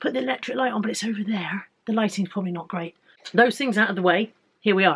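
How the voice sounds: A woman speaks at a fast pace. Her medium-pitched voice has a slightly husky edge.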